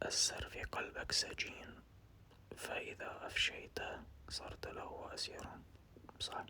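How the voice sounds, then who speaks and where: A whispered voice with an Iraqi accent, very slow in pace. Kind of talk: ASMR casual chat. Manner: whispered, soft-spoken.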